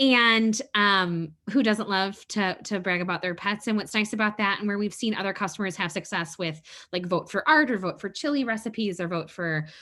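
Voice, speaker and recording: A woman with a medium-pitched voice speaks in a bright, sharp tone, her intonation lively. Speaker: webinar presenter. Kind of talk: webinar presentation. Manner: fast; halting.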